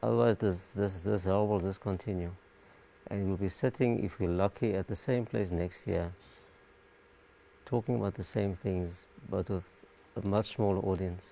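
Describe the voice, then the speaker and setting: Soft-spoken, a man with a very deep, low pitch and a dark, mellow tone talks with long, frequent pauses. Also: ordinary pitch variation, moderate pace. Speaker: doctor. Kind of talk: panel discussion. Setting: live stream panel.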